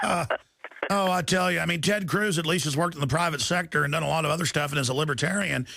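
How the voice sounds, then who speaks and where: The man speaks at a very fast pace. Background noise is noticeable. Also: fairly high pitch for a man, ordinary pitch variation, very even loudness. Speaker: radio talk show host. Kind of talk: talk radio interview.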